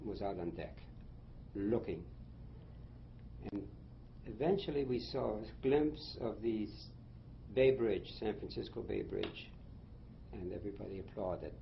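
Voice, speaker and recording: A man with vocal fry speaks at a moderate pace with long, frequent pauses, and room echo is audible. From Germany, then Shanghai, China. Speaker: war veteran. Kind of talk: interview. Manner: halting.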